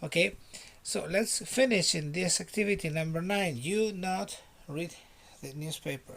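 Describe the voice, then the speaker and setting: A man with a Spanish accent and a high pitch speaks at a fairly slow pace. He uses ordinary pitch variation and long, frequent pauses. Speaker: English teacher. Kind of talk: online lesson. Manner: repetitive, drilling.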